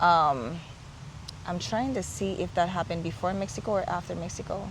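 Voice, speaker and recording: A woman with a fairly low voice talks at a fairly quick pace with lively intonation, amid audible room echo and noticeable background noise. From Haiti. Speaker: remote worker living abroad. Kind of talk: casual interview. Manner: halting, with self-corrections.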